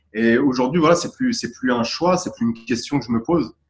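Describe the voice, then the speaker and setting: A man speaks with lively intonation. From Paris region, France, Tunisian parents. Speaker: calligraphy and graffiti artist. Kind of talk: interview. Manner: halting, many fillers.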